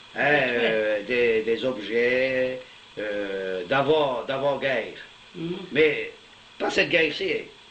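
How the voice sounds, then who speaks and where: Noticeable background noise sits behind a man speaking at a very slow pace. His pitch is medium, with ordinary pitch variation. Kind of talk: casual conversation in local dialect.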